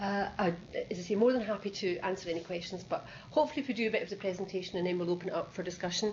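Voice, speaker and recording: Words come at a very fast pace in a Scottish accent, with ordinary pitch variation. Audible room echo surrounds the voice. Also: woman, medium pitch for a woman. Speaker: nursing education director. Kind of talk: presentation. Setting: video conference.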